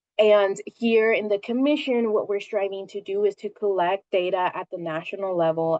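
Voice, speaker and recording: With an American accent, a woman has an unremarkable speaking voice. She talks at a fairly slow pace with ordinary pitch variation. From Santa Ana, California. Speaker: government agency director. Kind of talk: presentation.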